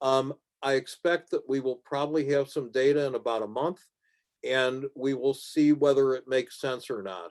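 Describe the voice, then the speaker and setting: A man's moderately paced speech with fairly even intonation. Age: 60s. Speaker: physician presenting clinical trial data. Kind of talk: lecture. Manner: halting with many fillers.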